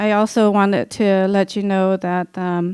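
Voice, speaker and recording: Monotone, flat intonation in a dry, close sound with no echo, on a very clean recording with a silent background. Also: woman. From Cambodia. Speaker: genocide survivor and author. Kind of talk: lecture. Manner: halting, many fillers.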